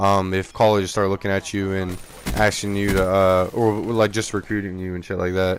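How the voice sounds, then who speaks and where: A man with a fairly low pitch at a fairly quick pace. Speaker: gaming youtuber. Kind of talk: video commentary. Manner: halting, filler-heavy; casual.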